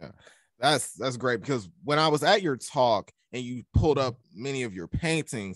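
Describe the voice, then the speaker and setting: At a moderate pace, a man talks with a Southern US accent, the sound dry with no echo and the background quiet. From US South. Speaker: student podcast host. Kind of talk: interview. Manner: casual, upbeat. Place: home room. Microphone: studio mic.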